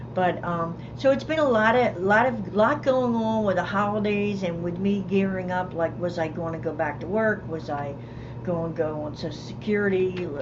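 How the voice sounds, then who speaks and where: With noticeable background noise and audible room echo around it, the voice moves at a moderate pace. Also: woman, medium pitch for a woman, lively intonation. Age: 60s. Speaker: semi-retired counselor and camping channel co-host. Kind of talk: casual livestream chat. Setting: home studio livestream.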